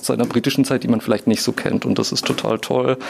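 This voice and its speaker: A man speaks over noticeable background noise. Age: 30s. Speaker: museum shop employee and TV editor. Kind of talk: casual interview. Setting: on location in a shop. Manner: many filler sounds.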